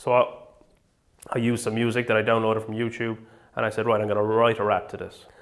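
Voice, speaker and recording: This man's medium-pitched voice runs very fast with a monotone, flat intonation, broken by long, frequent pauses. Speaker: director of a comedy production. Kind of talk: mock-documentary interview.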